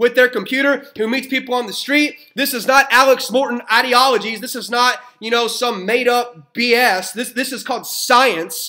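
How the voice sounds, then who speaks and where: A raised, projected voice with an American accent and an animated tone moves at a fairly quick pace over noticeable background noise. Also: man. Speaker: network marketer. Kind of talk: motivational talk. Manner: fast.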